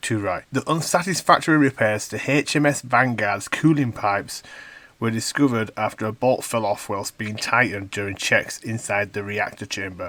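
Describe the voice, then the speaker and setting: A man with a strong Yorkshire accent speaks at a fairly quick pace, with medium pitch and ordinary pitch variation. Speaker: news commentator on a video channel. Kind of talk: reading aloud a news article with commentary. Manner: animated, indignant.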